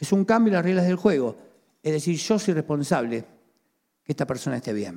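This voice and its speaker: A man with a Rioplatense accent, fairly high in pitch with a dark, mellow tone, very wide pitch swings and long, frequent pauses. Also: fairly quick pace. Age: 50s. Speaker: pastor. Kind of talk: sermon.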